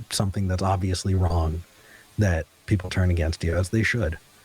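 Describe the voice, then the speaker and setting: Somewhat breathy with a dark, mellow tone, a man with an American accent talks at a moderate pace. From US West Coast, Ventura County, California. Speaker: talk show host and atheist activist. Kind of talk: casual interview. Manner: hesitant, frequent repetitions and fillers.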